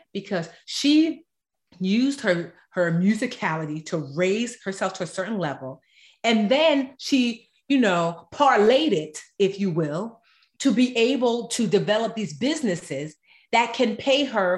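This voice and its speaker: A woman speaks with an American accent at a moderate pace, her fairly high, somewhat breathy voice moving in very wide pitch swings. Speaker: author and personal finance expert. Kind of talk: casual interview chat.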